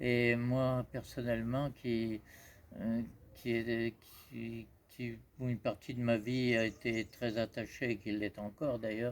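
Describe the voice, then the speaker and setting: Very slow and monotone, the speech keeps a flat intonation throughout. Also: man, medium pitch for a man. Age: 80s+. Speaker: researcher of pyramid-star geometry. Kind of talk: interview answer. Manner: hesitant, halting.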